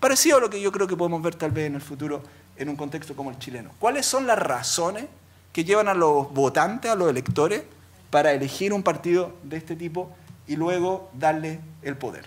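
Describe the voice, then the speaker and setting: A man with a fairly high pitch, lively intonation, and a fairly quick pace. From Chile, Quillota; Chile. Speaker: law professor, labor lawyer. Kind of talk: academic talk. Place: hall. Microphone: podium.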